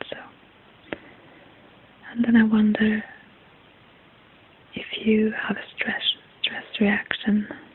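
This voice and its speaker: Soft-spoken and soothing, the voice moves at a very slow pace with long, frequent pauses over noticeable background noise. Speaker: ayurvedic health examiner (ASMR role-play). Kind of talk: ASMR role-play consultation. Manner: soft-spoken, soothing.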